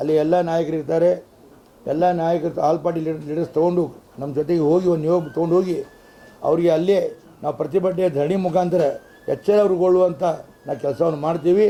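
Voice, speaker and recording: A man with a high pitch for a man talks in a monotone, flat intonation over noticeable background noise. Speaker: city mayor. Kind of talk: press conference statement.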